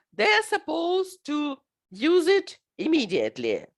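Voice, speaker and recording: A woman's extremely high voice in a Russian accent, with very wide pitch swings, on a very clean recording with a silent background. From Ukraine. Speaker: teacher and conference presenter. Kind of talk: recorded conference presentation. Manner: halting, many filler sounds.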